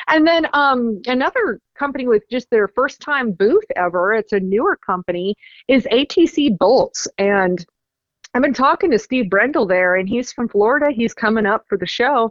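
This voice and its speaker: A woman's high-pitched voice at a moderate pace. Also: lively intonation. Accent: American. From US South, Rutherfordton, North Carolina. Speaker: racing trade show organizer. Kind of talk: promotional interview.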